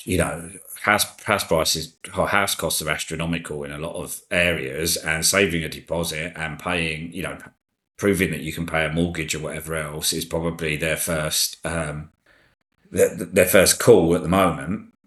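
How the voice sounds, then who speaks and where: A man speaks at a moderate pace in a very deep, low pitch. His intonation is monotone and flat, and the background is quiet. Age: 50s. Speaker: actuary and company founder. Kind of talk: interview, casual chat. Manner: conversational, hesitant with fillers.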